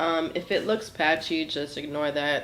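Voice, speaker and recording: Over noticeable background noise, a woman with a very deep, low pitch talks at a moderate pace. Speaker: beauty vlogger. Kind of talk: tutorial. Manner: casual.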